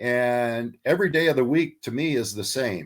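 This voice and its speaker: A man with an American accent talks at a moderate pace with lively intonation. He has a plain, everyday voice. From Texas. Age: 60s. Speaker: shark fisherman. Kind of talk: interview answer.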